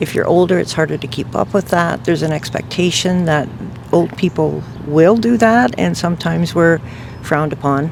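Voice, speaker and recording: A woman with a fairly low pitch at a moderate pace, amid noticeable background noise. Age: 70s. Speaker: interviewee. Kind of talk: street interview answer.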